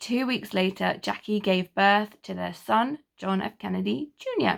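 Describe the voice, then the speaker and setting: The pace is fairly slow. It is a woman talking, with an English accent. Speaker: history YouTuber. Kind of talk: casual history talk.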